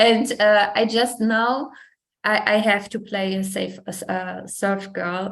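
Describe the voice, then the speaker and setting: Spoken very slowly in a German accent, the voice is monotone and flat, with audible room echo. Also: woman. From Germany. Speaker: fashion model. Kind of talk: interview. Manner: halting.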